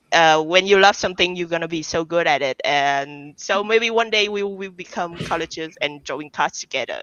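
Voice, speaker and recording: Speaking at a moderate pace with hardly any pauses, a woman with a non-native accent uses a fairly low pitch and ordinary pitch variation. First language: not English. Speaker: card game artist. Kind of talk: interview. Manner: halting.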